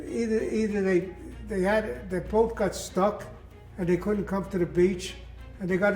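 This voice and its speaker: Over music in the background, a man speaks in a high pitch with an American accent. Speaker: war veteran. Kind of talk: interview answer.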